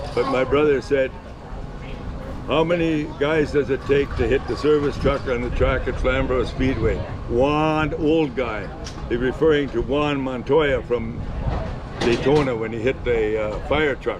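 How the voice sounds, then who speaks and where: With an Ontario accent, a man speaks fairly slowly in a fairly high voice with fairly even intonation, amid audible room echo and noticeable background noise. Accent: Canadian (Ontario). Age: 80s+. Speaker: retired race car driver. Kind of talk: casual interview.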